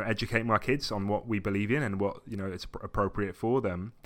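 A man with a southern English accent talks at a fairly quick pace in a fairly low pitch, keeping his intonation fairly even. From England (Essex, then Brighton). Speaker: podcast guest, graphic designer. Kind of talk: casual chat. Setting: video call.

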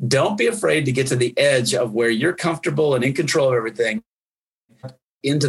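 With ordinary pitch variation, a man's voice carries a somewhat breathy quality. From US Midwest, Wisconsin. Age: 50s. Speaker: pastor. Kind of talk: casual chat.

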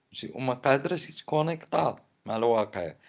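At a moderate pace, a man speaks in an animated tone at a medium pitch with lively intonation. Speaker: poet and commentator. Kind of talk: casual monologue.

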